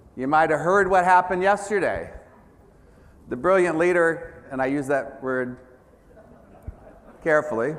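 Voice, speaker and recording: A man with an American accent speaks at a high pitch and moderate pace, with ordinary pitch variation. He leaves long, frequent pauses, and audible room echo is present. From United States. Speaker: business executive, keynote speaker. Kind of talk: conference keynote. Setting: stage with audience.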